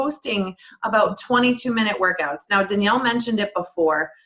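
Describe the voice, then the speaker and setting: Music plays in the background behind a woman's voice. Her pitch is fairly high, with ordinary pitch variation. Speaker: wellness business coach. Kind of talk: webinar presentation. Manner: fast.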